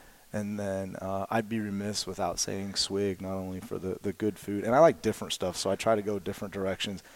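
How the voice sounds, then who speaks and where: Speaking fairly quickly with hardly any pauses, a man with an American accent and an ordinary speaking voice keeps a fairly low pitch and fairly even intonation in a very clean recording with a silent background. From southwestern Indiana, near Evansville. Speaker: high school football coach and math teacher. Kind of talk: casual interview.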